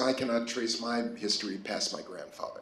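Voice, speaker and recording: Someone with an American accent talks at a fairly quick pace amid noticeable background noise and audible room echo. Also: man. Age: 60s. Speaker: artist. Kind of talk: artist talk. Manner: halting.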